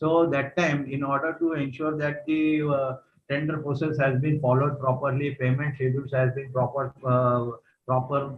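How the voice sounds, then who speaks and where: Somewhat breathy and fairly high-pitched, this man speaks in a monotone, flat intonation. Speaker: retired vigilance officer and trainer. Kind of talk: lecture. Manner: fast.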